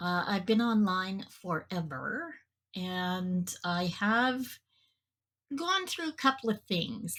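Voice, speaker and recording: A woman's somewhat breathy voice moves along very slowly. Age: 60s. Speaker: podcast host and mental health advocate. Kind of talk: interview.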